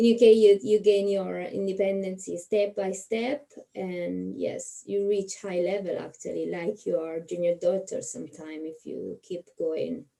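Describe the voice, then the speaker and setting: A woman with an Italian accent speaks at a fairly slow pace. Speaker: nurse. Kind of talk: interviewer, casual video chat.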